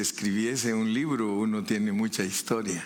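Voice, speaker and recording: The room echo is audible around a man's medium-pitched voice. He speaks at a fairly slow pace with ordinary pitch variation. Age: 70s. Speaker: preacher. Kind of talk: sermon.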